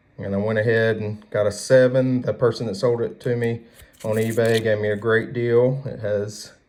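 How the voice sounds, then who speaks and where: A man talks in a Southern US accent with a relaxed tone. His intonation stays monotone and flat. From US South. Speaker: card collector YouTuber. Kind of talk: casual chat. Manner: relaxed, with fillers.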